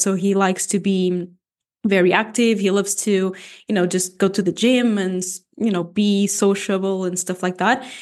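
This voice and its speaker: A woman speaks with a Portuguese accent at a medium pitch and a moderate pace. Her intonation is monotone and flat, and the background is quiet. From Portugal. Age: 20s. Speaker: bodybuilding athlete and posing coach. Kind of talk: casual interview.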